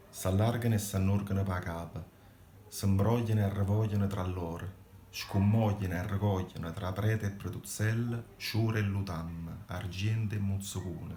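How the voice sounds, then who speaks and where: Over noticeable background noise, a man speaks slowly-ish in a fairly low, flat monotone. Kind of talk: poetry reading.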